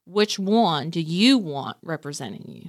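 This woman speaks in an American accent at a fairly low pitch, captured on a very clean recording with a silent background. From Kentucky (Nicholasville area). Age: 40s. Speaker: real estate broker. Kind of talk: casual interview.

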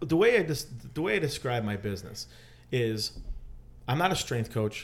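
A man is speaking here. His pace is moderate and his pitch medium. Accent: Chicago. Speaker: athletic trainer and gym owner. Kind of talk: casual interview.

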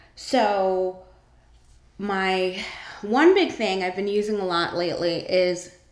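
A woman's medium-pitched voice with an American accent and ordinary pitch variation, plus audible room echo. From Northern California. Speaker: podcast host. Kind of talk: casual solo monologue. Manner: casual, with many filler words.

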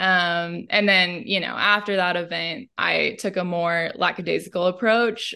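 A woman with an American accent and a normal speaking voice, medium in pitch, moderate in pace, fairly even in intonation, over a quiet background. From central Illinois, US Midwest. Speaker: astrologer. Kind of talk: interview conversation.

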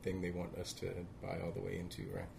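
Audible room echo surrounds a man whose very deep, low pitch comes through somewhat breathy. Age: 30s. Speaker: vintage store owner. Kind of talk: casual chat.

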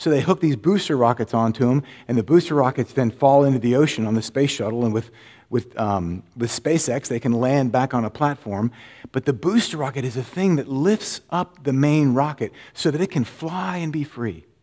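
On a very clean recording with a silent background, a man speaks in an American accent at a medium pitch and moderate pace, with lively intonation and a dark, mellow tone. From Florida. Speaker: pastor. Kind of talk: sermon.

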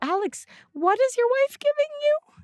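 This is a put-on character voice that sounds female. The pitch is extremely high for a woman. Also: moderate pace. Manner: sweet, coaxing.

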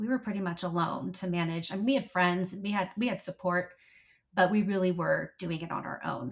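A woman talks at a fairly quick pace with medium pitch and ordinary pitch variation. Her voice is somewhat breathy. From US, military family, moved around. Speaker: patient sharing illness experience. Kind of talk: interview conversation.

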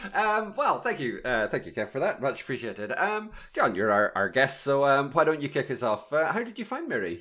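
With a British accent, a man speaks at a fairly high pitch in a bright, sharp tone, his pitch swinging very widely with hardly any pauses. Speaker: podcast co-host. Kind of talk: casual podcast chat.

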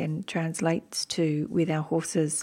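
A woman with an Australian accent and a dark, mellow tone, at a moderate pace. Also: very clean recording, silent background. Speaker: podcast host. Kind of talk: podcast intro narration; interview.

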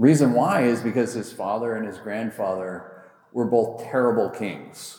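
This man has a plain, everyday voice at medium pitch. His intonation stays fairly even and his pace is fairly slow. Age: 40s. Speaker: pastor. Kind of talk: sermon.

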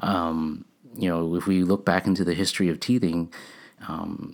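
At a moderate pace, a man speaks in a very deep, low voice with monotone, flat intonation. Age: 40s. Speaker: dentist. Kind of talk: casual interview chat. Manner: hesitant, many filler words.

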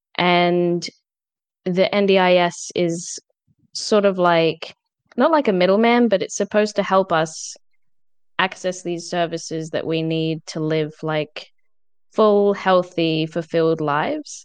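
A woman talks at a fairly slow pace, with long, frequent pauses. Her pitch is fairly low with ordinary variation, against a quiet background. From Adelaide, South Australia. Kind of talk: casual interview.

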